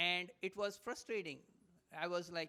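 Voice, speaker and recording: This man, with an Indian accent, uses a raised, projected voice with a bright, sharp tone. He sounds animated, with ordinary pitch variation. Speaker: motivational speaker. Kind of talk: live talk to audience. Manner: fast.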